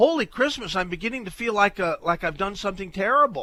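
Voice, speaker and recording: Bright and sharp in tone, a man's high-pitched voice is raised and projected. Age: 60s. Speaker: radio talk show host. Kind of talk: call-in radio talk. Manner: halting.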